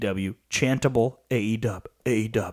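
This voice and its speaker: A man with a plain, everyday voice speaks at medium pitch with fairly even intonation. The sound is dry and close, with no echo. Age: 20s. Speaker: wrestling podcast co-host. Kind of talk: casual chat.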